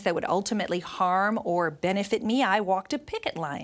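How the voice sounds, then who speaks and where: Here is a woman with a plain, everyday voice. She goes at a fairly quick pace with ordinary pitch variation. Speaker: Bible study teacher. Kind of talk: Bible study lesson.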